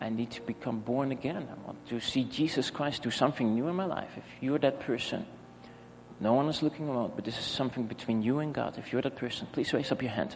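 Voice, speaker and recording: A man with a Dutch accent at a very fast pace, with ordinary pitch variation and audible room echo. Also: medium pitch for a man. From Netherlands. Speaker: pastor. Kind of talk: sermon. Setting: church.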